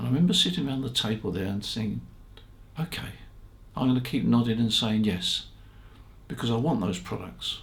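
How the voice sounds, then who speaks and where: A man's relaxed, medium-pitched voice with vocal fry and lively intonation, fairly quick yet broken by long, frequent pauses, in audible room echo. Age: 80s+. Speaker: ham radio shop founder and video host. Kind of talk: casual storytelling monologue. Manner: relaxed, conversational with fillers.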